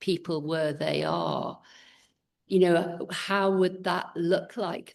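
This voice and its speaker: A woman at a fairly low pitch and fairly slow pace, with vocal fry and monotone, flat intonation. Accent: English. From England. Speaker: podcast host. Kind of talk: interview conversation.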